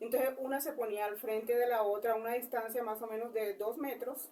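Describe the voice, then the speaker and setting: A woman speaks with a Colombian coastal accent, her voice high-pitched. Her pace is moderate and her pitch varies in an ordinary way. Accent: Colombian coastal (costeño). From Colombian Caribbean coast, Cesar. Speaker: interviewee. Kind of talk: interview. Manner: halting, many fillers.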